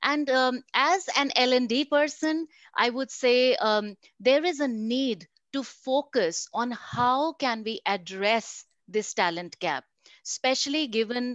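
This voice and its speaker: With an Indian accent and lively intonation, a woman is heard in a dry sound with no echo and a quiet background. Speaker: learning and development professional; panelist. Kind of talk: panel discussion. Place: home room. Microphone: video call.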